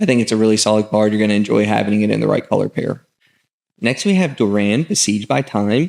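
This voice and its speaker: A man with an American accent talks at a very fast pace. His pitch is fairly low, with ordinary variation. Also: very even loudness. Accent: southern US accent, comes out at times. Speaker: gaming content creator. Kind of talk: card set review. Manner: casual, many filler words.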